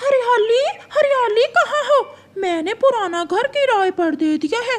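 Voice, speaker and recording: An extremely high-pitched cartoonish character voice. It speaks at a fairly slow pace. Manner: money-minded.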